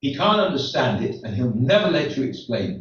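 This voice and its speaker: Vocal fry and very wide pitch swings run through this man's speech. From England. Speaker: rabbi. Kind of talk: stand-up. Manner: halting.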